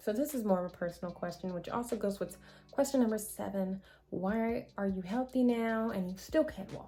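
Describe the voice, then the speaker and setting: Somewhat breathy and dark, mellow in tone, a woman's fairly high-pitched voice moves with ordinary pitch variation. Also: moderate pace. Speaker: vlogger sharing her HIV experience. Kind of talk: casual Q&A vlog. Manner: halting, stumbling over words.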